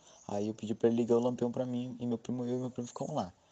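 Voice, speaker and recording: Here a man is speaking. His voice has a dark, mellow tone. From Vale do Ribeira, São Paulo state, Brazil. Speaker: listener sharing a story. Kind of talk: casual personal testimony.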